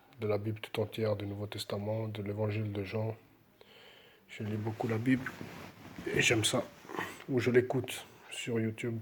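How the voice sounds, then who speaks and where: Soft-spoken and somewhat breathy, a man talks at a fairly slow pace. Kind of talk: devotional talk with scripture reading.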